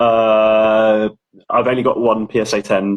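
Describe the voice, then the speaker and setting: A man speaks with an English accent. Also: dry, close sound with no echo. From England. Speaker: ticket collector and authenticator. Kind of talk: casual interview. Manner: halting.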